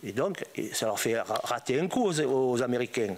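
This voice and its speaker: A man speaks at a very slow pace with ordinary pitch variation over noticeable background noise. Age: 80s+. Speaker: former drug trafficker. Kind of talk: testimony. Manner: animated.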